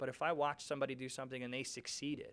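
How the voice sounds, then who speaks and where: With a New York accent, a man talks at a very fast pace in a fairly high voice. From New York City, Brooklyn. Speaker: commercial real estate broker. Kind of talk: podcast interview. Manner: casual, conversational.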